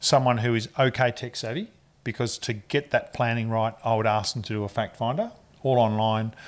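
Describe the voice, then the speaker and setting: Speaking with an Australian accent at a fairly quick pace, a man keeps a medium pitch and fairly even intonation on a very clean recording with a silent background. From Australia (Ballarat, Victoria). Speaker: mortgage broker. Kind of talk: interview.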